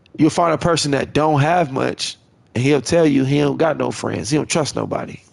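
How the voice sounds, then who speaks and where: The man has a fairly high pitch and fairly even intonation. Noticeable background noise accompanies his moderate pace. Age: 30s. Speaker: gaming livestreamer. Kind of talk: casual monologue while gaming.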